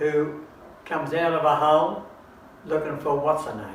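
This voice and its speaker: A man with an Australian accent speaks at a fairly slow pace and a fairly high pitch. Noticeable background noise is present. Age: 80s+. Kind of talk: casual comedic chat.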